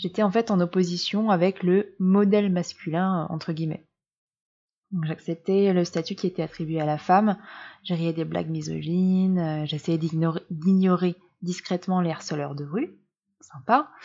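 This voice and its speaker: Over a quiet background, a woman with a dark, mellow tone talks at a fairly slow pace with fairly even intonation. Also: fairly low pitch for a woman. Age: 30s. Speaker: blogger and podcaster on menstrual cycles. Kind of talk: personal monologue podcast.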